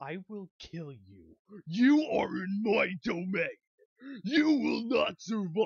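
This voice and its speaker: This is a put-on character voice at a fairly high pitch. The pace is very slow. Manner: menacing.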